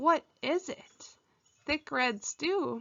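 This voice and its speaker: In a put-on character voice, a woman talks at a high pitch with lively intonation. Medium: read story. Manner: warm, welcoming.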